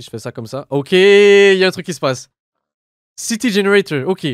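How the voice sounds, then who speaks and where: Recorded with a dry sound and no echo, a man talks against a quiet background. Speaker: gaming youtuber. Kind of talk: let's play commentary. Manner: animated; fast.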